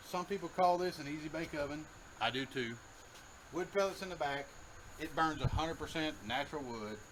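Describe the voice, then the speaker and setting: A man with a fairly high pitch and ordinary pitch variation speaks at a fairly quick pace. His speech has long, frequent pauses. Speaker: home cooking show host. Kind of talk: casual cooking tutorial. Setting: outdoors by a grill. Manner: loud.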